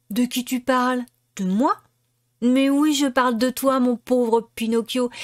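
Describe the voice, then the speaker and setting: A woman's high-pitched, animated voice, dry and close with no echo. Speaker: audiobook reader. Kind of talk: dramatic storytelling narration, reading a children's tale aloud, with character voices. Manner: animated, expressive, shifting tone for each character.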